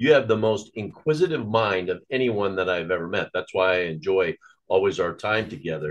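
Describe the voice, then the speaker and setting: Speaking with an American accent, a man with an unremarkable speaking voice uses lively intonation at a fairly low pitch. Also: moderate pace. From Nebraska, US Midwest. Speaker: political action committee chairman and former radio host. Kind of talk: casual chat.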